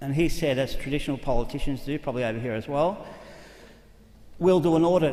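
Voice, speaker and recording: Fairly quick speech from a man with an Australian accent, with audible room echo. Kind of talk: conference talk. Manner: fast; animated.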